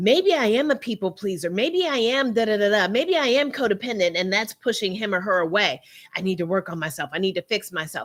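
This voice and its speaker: A woman talks loudly and fairly quickly in an animated tone at a medium pitch with very wide pitch swings, on a very clean recording with a silent background. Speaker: relationship coach livestream host. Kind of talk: live stream talk to viewers. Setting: live stream.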